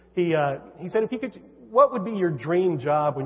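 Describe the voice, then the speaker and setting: A man talks very fast with an American accent. There is noticeable background noise. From California. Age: 50s. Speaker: author. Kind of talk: church talk interview.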